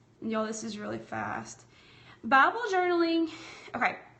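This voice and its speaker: A woman speaks with a strong Southern accent and lively intonation. Room echo is audible around her. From US South. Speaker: craft and bible journaling livestreamer. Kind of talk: live-streamed craft tutorial with chat. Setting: livestream from home. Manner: casual, chatty.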